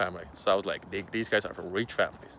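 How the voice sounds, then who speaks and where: A man with a Finnish accent, fairly low-pitched, at a very fast pace. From Finland. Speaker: online business creator. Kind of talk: casual vlog monologue. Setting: outdoors in public. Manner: hesitant, many fillers.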